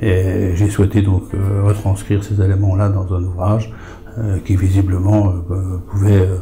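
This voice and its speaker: Slow-paced and flat, a man talks in a monotone at a fairly low pitch, with noticeable background noise. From France, Lorraine (Lunéville area). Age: 70s. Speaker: author and retired farmer. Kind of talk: interview. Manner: hesitant, many fillers.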